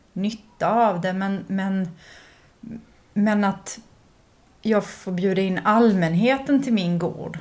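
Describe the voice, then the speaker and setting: A woman talks at medium pitch with fairly even intonation. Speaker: curator. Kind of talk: casual chat. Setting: at the artist's home.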